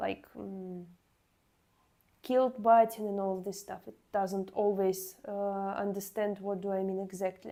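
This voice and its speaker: A dark, mellow voice speaks at a fairly slow pace in a flat monotone, with big swings in loudness. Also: woman, medium pitch for a woman. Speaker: cosplay wig maker streamer. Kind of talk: casual livestream chat. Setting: livestream. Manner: halting, many fillers.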